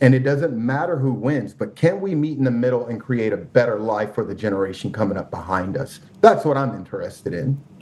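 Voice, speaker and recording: An ordinary speaking voice moves rather quickly, its intonation lively. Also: man, medium pitch for a man. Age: 40s. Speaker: podcast guest. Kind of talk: casual conversation.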